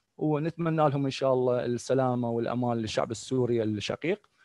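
A man with an Iraqi accent speaks in a dark, mellow tone. The sound is dry, with no echo. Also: quiet background. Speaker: professor. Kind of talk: lecture. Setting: video call. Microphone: video call.

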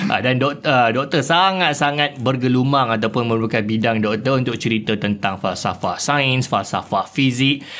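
A man with an ordinary speaking voice talks at a moderate pace in a medium pitch, with ordinary pitch variation, very even loudness and hardly any pauses. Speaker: podcast host. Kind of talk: podcast interview.

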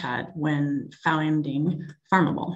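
Female speaker in a Canadian accent. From Canada. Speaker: tech company executive. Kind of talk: webinar presentation. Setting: video call. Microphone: video call.

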